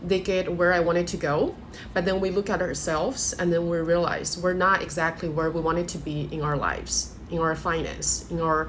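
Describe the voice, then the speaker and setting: Over noticeable background noise and audible room echo, the speaker uses a monotone, flat intonation with a non-native accent. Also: woman. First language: not English. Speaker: life coach. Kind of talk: motivational talk to camera. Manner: hesitant, with fillers.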